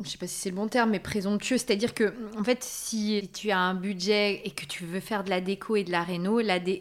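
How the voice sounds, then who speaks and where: A woman with a plain, everyday voice talks at a fairly quick pace and medium pitch on a very clean recording with a silent background. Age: 30s. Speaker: content creator, former pediatric nurse. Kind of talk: casual interview.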